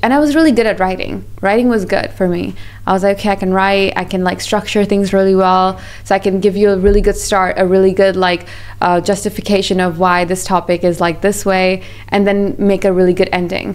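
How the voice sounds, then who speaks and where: Noticeable background noise runs under a woman talking at a fairly quick pace. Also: very even loudness. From Pakistan, raised partly in Malaysia. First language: not English. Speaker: business founder. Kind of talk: podcast interview. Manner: animated.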